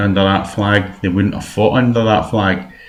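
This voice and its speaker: Speaking in a West of Scotland accent, a man uses a fairly low pitch. Audible room echo fills the recording. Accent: Scottish (west, Paisley area). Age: 60s. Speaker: political activist. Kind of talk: personal video message. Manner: hesitant, many fillers.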